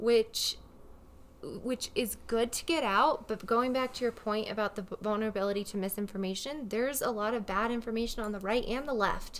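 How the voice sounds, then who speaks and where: A woman speaks at a moderate pace and fairly high pitch in an unremarkable speaking voice. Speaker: podcast co-host. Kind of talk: casual chat. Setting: studio with headphones and mic. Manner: casual, laughing.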